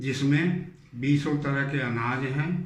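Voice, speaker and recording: A man talks with fairly even intonation, and audible room echo can be heard. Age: 70s. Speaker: doctor giving health advice. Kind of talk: health talk to camera.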